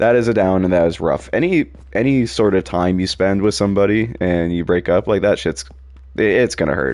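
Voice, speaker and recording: Lively in intonation, the speech runs at a fairly quick tempo. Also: man. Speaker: gaming streamer. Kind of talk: live gameplay commentary. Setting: live stream. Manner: casual, hesitant with fillers.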